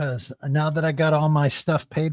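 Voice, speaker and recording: With a Midwestern American accent, a man talks at a fairly slow pace with fairly even intonation, the sound dry and close with no echo. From US Midwest, Peoria, Illinois. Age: 60s. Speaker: live streamer, former lawyer. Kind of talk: casual livestream chat reading comments. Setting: live stream. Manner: rambling, conversational.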